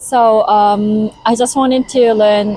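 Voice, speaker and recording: This woman speaks with a Japanese accent. Her voice is fairly high, and her intonation stays fairly even. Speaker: interviewee, language learner. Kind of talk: interview. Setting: Tokyo.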